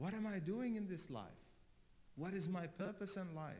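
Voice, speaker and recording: Audible room echo surrounds a man who speaks with a non-native accent. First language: not English. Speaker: cleric. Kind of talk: sermon.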